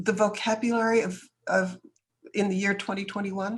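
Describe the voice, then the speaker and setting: Somewhat breathy, a woman with an American accent speaks at a medium pitch. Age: 70s. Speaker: businesswoman and author. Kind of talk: interview.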